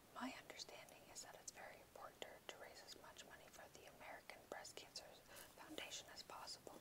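The voice whispers at a fairly quick pace. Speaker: ASMR reader. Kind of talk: audiobook reading. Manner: whispered.

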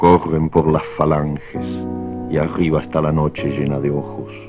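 Over noticeable background noise, a man with a very deep, low pitch speaks at a fairly slow pace with ordinary pitch variation, recorded dry with no echo. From Argentina. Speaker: writer, poet. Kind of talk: poetry reading. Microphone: old recording.

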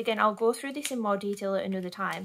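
Talking at a very fast pace with a British accent, a woman uses a medium pitch and ordinary pitch variation over light background noise. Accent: regional British. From United Kingdom. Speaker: budgeting vlogger. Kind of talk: casual talk to camera. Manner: hesitant, lots of filler 'erm'. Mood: relaxed, self-deprecating. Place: home room. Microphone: phone near.

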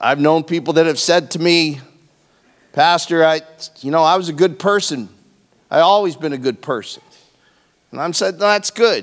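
Long, frequent pauses break up a man's speech. He keeps a moderate pace with ordinary pitch variation. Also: quiet background. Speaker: pastor. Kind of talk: sermon. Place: church. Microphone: handheld.

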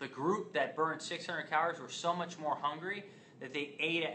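A man talks at a moderate pace. Light background noise runs underneath. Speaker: fitness educator. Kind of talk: lecture. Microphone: phone near.

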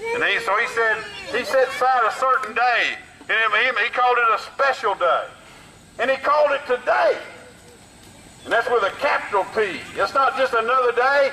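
A man speaks in a raised, projected voice at an extremely high pitch and a moderate pace, with long, frequent pauses. His loudness stays very even over noticeable background noise. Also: ordinary pitch variation. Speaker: street preacher. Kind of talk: street preaching sermon. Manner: urgent, exhorting.

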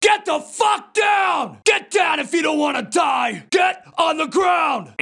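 Shouting in a put-on character voice, a man speaks at an extremely high pitch and a fairly slow pace. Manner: shouting, threatening.

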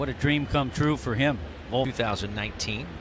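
A man with a medium pitch speaks at a fairly slow pace with lively intonation. Noticeable background noise sits behind him. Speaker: baseball play-by-play announcer. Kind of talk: live baseball play-by-play commentary, brisk pitch-by-pitch calls. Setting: broadcast booth.

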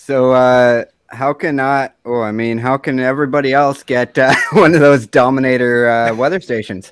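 The speech moves at a moderate pace with hardly any pauses and fairly even intonation. The sound is dry with no echo, against a quiet background. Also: man. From Canada. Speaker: podcast host. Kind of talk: casual chat. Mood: friendly, curious. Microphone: studio mic.

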